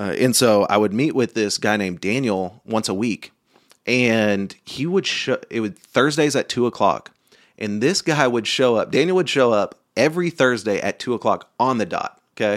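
In a very clean recording with a silent background, a man with a normal speaking voice talks at a moderate pace and medium pitch with lively intonation. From Oklahoma. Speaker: entrepreneur and community outreach speaker. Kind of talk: interview conversation.

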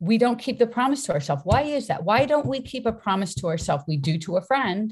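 With an American accent, a woman speaks at a fairly quick pace in an animated, somewhat breathy tone, her pitch swinging very widely against a quiet background. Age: 60s. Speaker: fitness coach and author. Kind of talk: casual interview chat.

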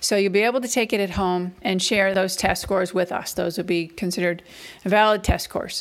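A woman speaks at a fairly quick pace with fairly even intonation and a medium pitch. It is an ordinary speaking voice. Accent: American. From Massachusetts, New England. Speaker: university admissions director. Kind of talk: podcast intro talk. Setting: at home.

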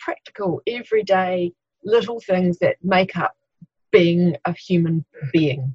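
This woman speaks at a moderate pace with a New Zealand accent, her voice somewhat breathy and the sound dry and close with no echo. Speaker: occupational therapist. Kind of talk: interview.

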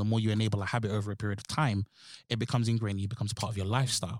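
In a London accent, the speaker races along very fast with monotone, flat intonation, on a very clean recording with a silent background. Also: man. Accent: London, Multicultural London English. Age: 20s. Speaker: podcast host. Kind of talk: casual chat.

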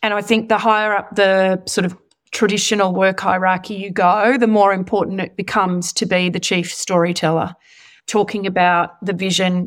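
A woman with an Australian accent, medium in pitch, in a monotone, flat intonation, on a very clean recording with a silent background. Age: 40s. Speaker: senior executive. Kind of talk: interview.

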